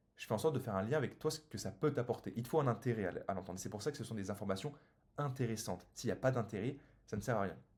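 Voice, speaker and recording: A man talks at a very fast pace in a somewhat breathy voice. His pitch varies in an ordinary way. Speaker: business coach for solopreneurs. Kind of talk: sales pitch; tutorial.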